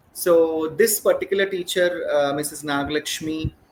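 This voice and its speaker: This is a man speaking. He has a Keralan accent. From India, Hyderabad (Telangana). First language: Malayalam. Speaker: educator, school principal. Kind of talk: podcast interview. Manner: hesitant, many fillers.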